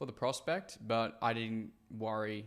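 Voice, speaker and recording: In an Australian accent, a man speaks at a fairly low pitch with vocal fry. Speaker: sales coach. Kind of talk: tutorial commentary.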